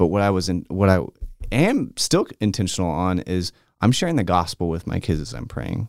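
Lively intonation and vocal fry mark this voice with an American accent, heard in a dry, close sound with no echo. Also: man, very deep, low pitch for a man, moderate pace. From Texas, Austin. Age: 30s. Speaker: children's pastor. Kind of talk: casual chat. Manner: halting.

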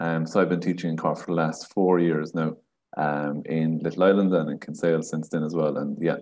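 Here a man speaks with an Irish accent at a fairly quick pace. His pitch is very deep and low, and his intonation stays fairly even. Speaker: primary school teacher and chess organiser. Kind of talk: casual interview chat.

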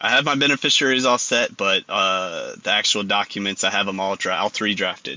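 A man talks with a Texan accent at a fairly quick pace. His pitch is fairly low with ordinary pitch variation. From Texas. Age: 30s. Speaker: caller, Air Force veteran. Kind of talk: phone-in advice call. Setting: phone call. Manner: halting.

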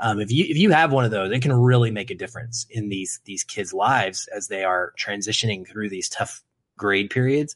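Here is a man with a normal speaking voice. His pitch sits in the medium range and varies in an ordinary way. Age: 30s. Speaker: film podcast host. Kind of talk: casual chat.

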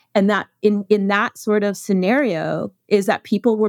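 A woman speaks with a Western Canadian accent. The recording is very clean and dry, close-miked with a silent background and no echo. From Canada, Alberta prairies. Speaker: documentary filmmaker. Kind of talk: interview.

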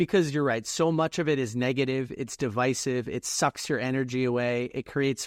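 An unremarkable speaking voice from a man, medium in pitch with ordinary pitch variation and a moderate pace, dry and close with no echo over a quiet background. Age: 20s. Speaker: author and reading coach. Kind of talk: podcast interview.

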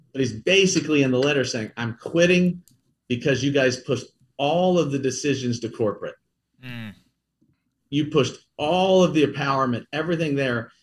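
A man with an American accent speaks at a moderate pace and fairly high pitch. His voice is somewhat breathy, with ordinary pitch variation. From US Midwest, Kansas City. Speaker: company CEO. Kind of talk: interview. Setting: remote, not in studio.

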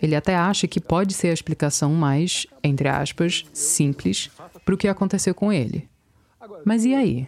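In a normal speaking voice, a woman with fairly low pitch and lively intonation speaks at a moderate pace and very even loudness, on a very clean recording with a silent background. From US, Virginia. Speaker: podcast reporter. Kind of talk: scripted narration.

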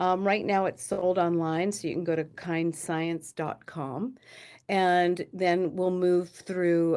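An unremarkable speaking voice, this woman's is fairly low-pitched, with fairly even intonation at a fairly slow pace, on a very clean recording with a silent background. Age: 60s. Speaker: beauty brand co-founder. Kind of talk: interview.

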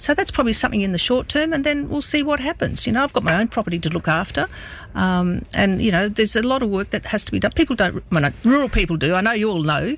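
Very fast and with very wide pitch swings, the speaker uses vocal fry with an Australian accent. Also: woman, fairly high pitch for a woman, very even loudness. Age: 60s. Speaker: politician. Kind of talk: radio interview. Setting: studio.

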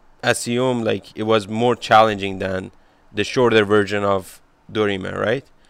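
Over a silent background in a very clean recording, a man with a Persian accent speaks at a fairly low pitch with fairly even intonation. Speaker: podcast host. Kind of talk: interview.

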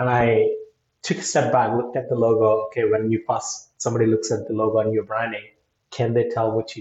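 Somewhat breathy speech with monotone, flat intonation and big swings in loudness. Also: man, medium pitch for a man. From India. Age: 40s. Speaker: digital marketing agency owner. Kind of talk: interview.

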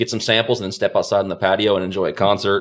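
Very fast speech comes from a man with a fairly low-pitched voice. The recording is very clean, with a silent background. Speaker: spirits salesman. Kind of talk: casual interview chat.

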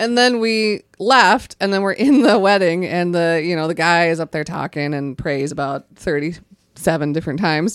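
An unremarkable speaking voice with an American accent moves at a moderate pace with lively intonation, on a very clean recording over a silent background. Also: woman, fairly low pitch for a woman. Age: 30s. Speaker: podcast co-host. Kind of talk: casual chat. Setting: studio.

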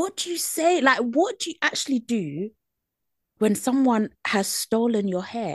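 Speaking in a British accent at a fairly slow pace, a woman with a high pitch makes very wide pitch swings, captured with a dry, close sound, no echo and a quiet background. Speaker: podcast co-host. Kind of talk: casual chat.

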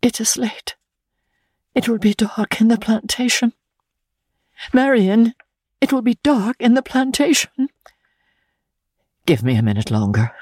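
In a put-on character voice, a woman speaks at a fairly high pitch with big pitch swings, a slightly mellow tone and a slightly husky edge. Her pace is fairly slow with long, frequent pauses, and the sound is dry and close with no echo.

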